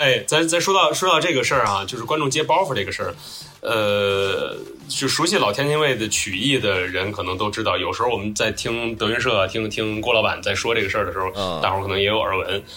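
With music in the background and audible room echo, a man at a medium pitch talks at a very fast pace with lively intonation. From Tianjin, China. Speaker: graphic designer and podcaster. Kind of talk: casual chat. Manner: halting, with frequent repetitions and fillers.

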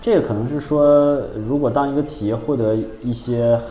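A moderate pace and fairly even intonation, with audible room echo and noticeable background noise. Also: man. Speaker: podcast co-host. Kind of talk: casual chat.

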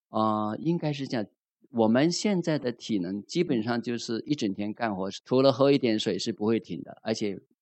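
A man with an ordinary speaking voice talks at a moderate pace. His pitch is medium and his intonation lively. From Zhuhai, Guangdong. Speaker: meditation student. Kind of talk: testimony.

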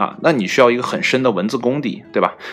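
A man talks with music in the background. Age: 30s. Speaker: solo podcast host. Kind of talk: casual solo monologue. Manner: hesitant with many fillers.

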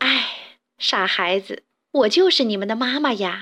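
In a put-on character voice, a woman speaks fairly slowly with a fairly high pitch, a bright, sharp tone and lively intonation.

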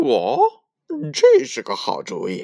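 In a put-on character voice with very wide pitch swings, someone speaks slowly in a dark, mellow tone with vocal fry, on a very clean recording with a silent background.

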